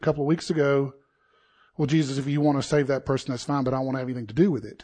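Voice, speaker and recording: A man with a South Carolina accent talks in a fairly high-pitched voice with fairly even intonation over a quiet background. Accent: Southern US (South Carolina). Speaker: pastor. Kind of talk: sermon. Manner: conversational.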